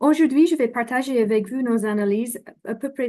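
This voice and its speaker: A woman speaks in a non-native accent, her tone dark and mellow. Her pitch varies in an ordinary way, and the background is quiet. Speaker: development finance expert. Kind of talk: conference presentation. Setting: remote video link. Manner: halting, many fillers.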